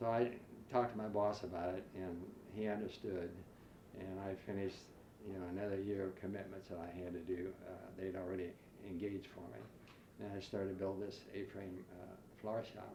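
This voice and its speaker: A man with a very deep, low pitch and an American accent, fairly even intonation, a fairly quick pace, long, frequent pauses and audible room echo. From US Midwest (rural western Ohio). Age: 80s+. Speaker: retired florist and businessman. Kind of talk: oral history interview. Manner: halting, many fillers.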